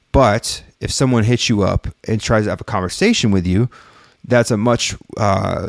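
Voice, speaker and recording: Speech comes in an unremarkable speaking voice with an American accent and ordinary pitch variation. The pace is fairly slow, and the sound is dry and close with no echo. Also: man, very clean recording, silent background. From California and Texas, US. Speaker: music marketing podcaster. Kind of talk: solo livestream talk to chat. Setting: live stream with chat. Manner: casual with many fillers.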